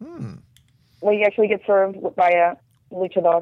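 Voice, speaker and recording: Her speech moves along at a moderate pace. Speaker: TV lifestyle reporter. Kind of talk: casual chat. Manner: animated.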